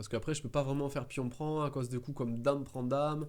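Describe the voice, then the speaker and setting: A man in a southern French accent, talking at a very fast pace. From southern France. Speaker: chess streamer. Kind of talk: live game commentary. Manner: halting, many fillers and repetitions.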